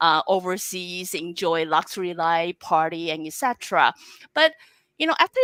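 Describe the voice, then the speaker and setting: With a Chinese accent, a woman speaks at a fairly slow pace in a dry, close sound with no echo. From Taiwan. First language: Mandarin Chinese. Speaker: talk show host. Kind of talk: interview. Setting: live online broadcast.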